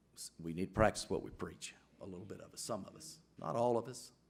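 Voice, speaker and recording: A man with an Alabama accent, lively intonation and a fairly quick pace. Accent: Southern US (Alabama). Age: 60s. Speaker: city council member. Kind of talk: council meeting speech. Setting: council chamber, microphone. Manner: halting, repeats words.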